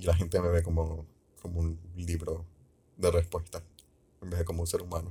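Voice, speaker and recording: A man speaks at a moderate pace in a very deep, low voice with a dark, mellow, somewhat breathy tone. His intonation is monotone and flat, broken by long, frequent pauses. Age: 20s. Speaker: solo podcaster. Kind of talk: casual monologue. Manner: halting, with fillers and repetitions.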